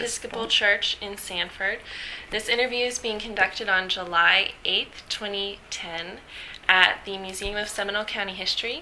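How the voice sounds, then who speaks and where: A woman talks at a medium pitch and a moderate pace with fairly even intonation. Noticeable background noise is present. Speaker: interviewer. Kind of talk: interview questions.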